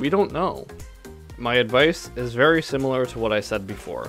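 A man talks at a moderate pace over faint music in the background. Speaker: teacher, video reactor. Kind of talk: reaction video commentary. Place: home room. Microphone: studio mic.

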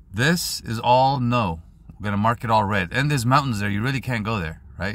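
A man talks at a moderate pace with lively intonation. The sound is dry, with no echo. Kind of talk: tutorial. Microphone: phone near.

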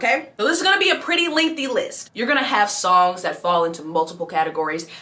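Delivered at a very fast pace, the voice is animated, its pitch swinging very widely. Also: woman. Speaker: musical theatre performer and youtuber. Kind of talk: tutorial. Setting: indoors in a city, street noise. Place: home room.

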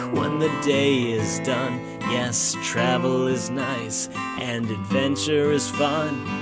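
A man speaks at a very slow pace, hardly pausing at all. The sound is dry with no echo, over loud background noise. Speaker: singer-songwriter promoter. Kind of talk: town crier style promotional rhyming announcement; tourism and airline promotion read. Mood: upbeat, cheerful. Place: studio. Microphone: studio mic.

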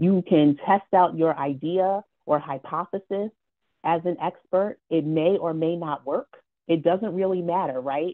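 Against a quiet background, a woman with a fairly low pitch speaks at a fairly slow pace with ordinary pitch variation. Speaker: community organization co-founder. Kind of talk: panel discussion. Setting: video call. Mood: warm, smiling. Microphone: earbuds.

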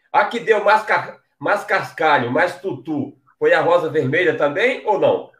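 Against a quiet background with audible room echo, a man with a northeastern Brazilian accent speaks at a fairly slow pace and a high pitch, with lively intonation and hardly any pauses. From Paraíba, Brazil. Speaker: online show host. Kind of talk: interview. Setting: video call. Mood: cheerful, smiling. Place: home room. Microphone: headset.

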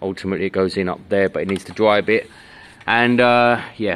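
A man with an ordinary speaking voice talks at a moderate pace, fairly low in pitch with fairly even intonation. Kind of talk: casual vlog chat. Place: street. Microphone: phone near.

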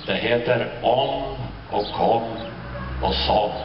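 Speech comes at a very slow pace over noticeable background noise. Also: man. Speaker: presenter at a public spring event. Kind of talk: spoken introduction to an outdoor audience. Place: street. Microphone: camera far.

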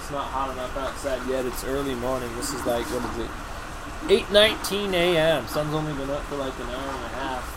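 Noticeable background noise surrounds a man talking at a moderate pace. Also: ordinary pitch variation, hardly any pauses. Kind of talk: casual vlog chat. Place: garden. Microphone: webcam.

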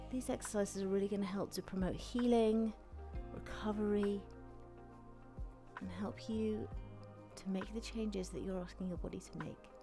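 A woman talks at a moderate pace with long, frequent pauses while clear music plays in the background. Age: 40s. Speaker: personal trainer, fitness instructor. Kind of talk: guided mindfulness and stretching session. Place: studio. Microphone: headset.

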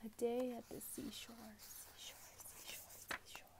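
A soft-spoken woman whispers at a very slow pace over light background noise. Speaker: ASMR creator. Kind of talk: ASMR bedtime story reading. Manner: soft-spoken, whispered. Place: home room. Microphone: earbuds.

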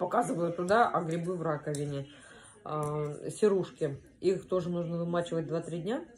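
At a moderate pace, a woman with a fairly low pitch and ordinary pitch variation speaks over light background noise. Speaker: home vlogger. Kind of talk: casual vlog chat. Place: kitchen. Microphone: phone near.

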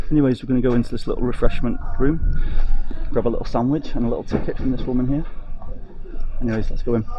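Noticeable background noise is present throughout. Over it, a man's words come very fast. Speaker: travel vlogger. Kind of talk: casual vlog chat. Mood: cheerful, upbeat. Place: station. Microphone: phone near.

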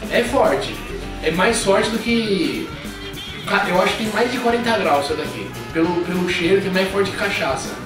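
A man speaks with long, frequent pauses. Clear music plays in the background, and room echo is audible. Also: ordinary pitch variation, moderate pace. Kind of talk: casual vlog chat. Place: home room. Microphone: camera far.

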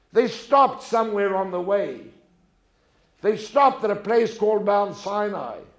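At a moderate pace, a man with a high pitch speaks against a quiet background with audible room echo. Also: ordinary pitch variation. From South Africa. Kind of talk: talk before an audience. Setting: stage with audience. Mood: warm, humorous storytelling. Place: stage. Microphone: lapel.

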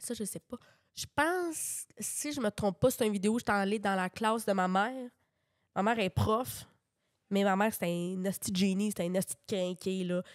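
A woman has an unremarkable speaking voice, with a medium pitch, a moderate pace and ordinary pitch variation. The recording is very clean, with a silent background and a dry, close sound with no echo. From Quebec, Drummondville. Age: 20s. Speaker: comedian. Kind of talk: casual chat.

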